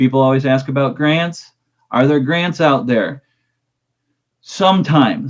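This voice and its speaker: This is a man speaking. His pitch shows ordinary variation. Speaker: agricultural lender. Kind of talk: webinar presentation.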